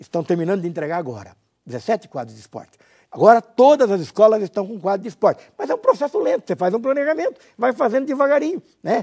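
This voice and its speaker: A man's high-pitched voice races at a very fast pace with very wide pitch swings, recorded dry and close with no echo. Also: big swings in loudness. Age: 60s. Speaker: former mayor teaching a course. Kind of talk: lecture. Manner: halting, with fillers.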